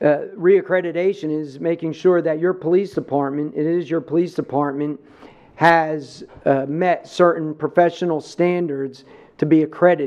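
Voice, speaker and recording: A man with a New Jersey accent speaks at a fairly high pitch with fairly even intonation. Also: moderate pace. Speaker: police chief presenting budget. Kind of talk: budget presentation at public meeting. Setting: county government meeting.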